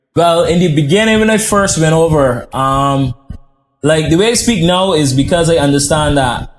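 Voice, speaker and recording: Over music in the background, a man with an American accent talks at a moderate pace, his pitch fairly high and his loudness very even. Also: ordinary pitch variation. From Barbados. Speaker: chef. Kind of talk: podcast interview.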